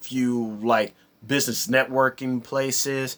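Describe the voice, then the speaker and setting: Mumbling at a fairly slow pace, a man keeps a monotone, flat intonation. His pitch is medium. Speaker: vlogger. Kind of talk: casual vlog monologue.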